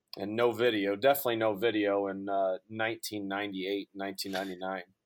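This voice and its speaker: A man talks with a St. Louis accent and fairly even intonation. The recording is very clean, with a silent background. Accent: Midwestern American (St. Louis area). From Southern Illinois, near St. Louis. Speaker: college sports information director. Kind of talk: casual interview.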